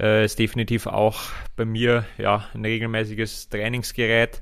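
On a very clean recording with a silent background, a man of medium pitch speaks in a monotone, flat intonation. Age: 30s. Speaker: triathlete. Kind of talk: casual chat. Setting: training camp.

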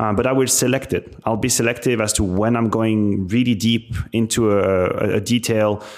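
With a French accent, a man speaks at a moderate pace, his loudness staying very even throughout. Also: medium pitch for a man, fairly even intonation. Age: 30s. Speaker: esports commentator and former pro gamer. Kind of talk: interview.

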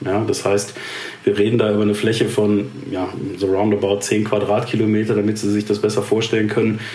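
A man with a fairly low voice is heard through noticeable background noise and audible room echo. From Ruhr area, Germany. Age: 40s. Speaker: head of digital transformation at a steel company. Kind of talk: interview.

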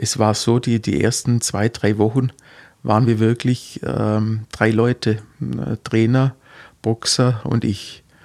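In a very clean recording with a silent background, a man of medium pitch speaks at a fairly slow pace with fairly even intonation. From Heidenheim district, Swabia (Baden-Württemberg). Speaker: physiotherapist for athletes. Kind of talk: interview. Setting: studio. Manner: halting, many fillers.

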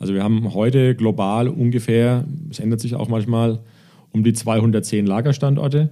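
A man with a medium pitch, dark, mellow tone, fairly even intonation, and moderate pace. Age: 40s. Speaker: logistics executive. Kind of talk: interview. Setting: in person. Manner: halting.

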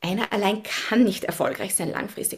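At a moderate pace, a woman talks in a somewhat breathy, fairly high voice with fairly even intonation. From Austria, Upper Austria. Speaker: science diplomat and community building consultant. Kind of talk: interview.

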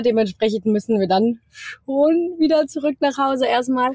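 Using a plain, everyday voice, a woman speaks at a fairly slow pace with ordinary pitch variation and a dry, close sound with no echo. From Germany, Cologne. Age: 20s. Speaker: travel influencer. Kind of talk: casual interview. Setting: video call from her van.

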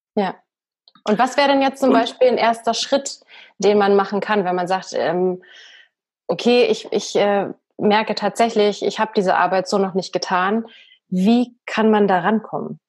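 On a very clean recording with a silent background, a woman speaks at a moderate pace and medium pitch, with ordinary pitch variation and long, frequent pauses. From Bavaria, Germany. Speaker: podcast host and coach. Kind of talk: interview conversation. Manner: trained speaking from acting school.

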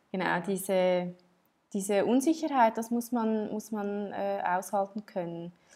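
A woman speaks fairly slowly at a medium pitch, her tone dark and mellow and her pitch varying in an ordinary way. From Switzerland. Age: 30s. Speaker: entrepreneur and textile designer. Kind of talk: interview. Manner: halting, many fillers and restarts.

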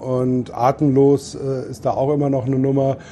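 A man's unremarkable speaking voice at medium pitch. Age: 50s. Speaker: beer tent landlord. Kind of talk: casual chat. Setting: in a festival tent.

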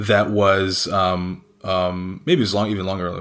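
In a Canadian accent, a man with a fairly low pitch speaks amid audible room echo. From rural Canada. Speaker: sneaker resale company director. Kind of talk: interview.

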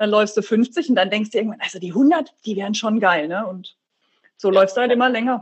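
A woman speaks fairly quickly in a somewhat breathy voice. Her pitch sits fairly high. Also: ordinary pitch variation. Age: 40s. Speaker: ultramarathon runner. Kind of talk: interview. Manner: casual.

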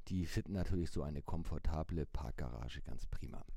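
A man's dark, mellow voice, fairly slow, with very wide swings in pitch. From Hamburg, northern Germany. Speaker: newspaper editor, mobility expert. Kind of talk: interview.

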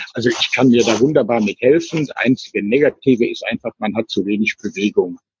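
Fairly quick delivery with hardly any pauses and ordinary pitch variation, in a dry, close sound with no echo. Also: man, medium pitch for a man. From Germany, Cologne. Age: 60s. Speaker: retired traveller living in a motorhome. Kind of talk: casual interview. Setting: remote call over the internet. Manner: halting, with many fillers and repetitions. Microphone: weak internet connection, dropout midway.

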